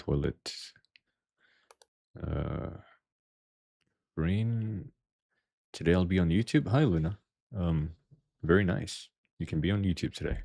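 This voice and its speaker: A man with a very deep, low pitch and a dark, mellow tone uses lively intonation at a fairly slow pace, pausing long and often, in a very clean recording with a silent background. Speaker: vtuber gaming streamer. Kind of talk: live gameplay stream chat. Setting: live stream. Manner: quiet, sometimes hard to hear.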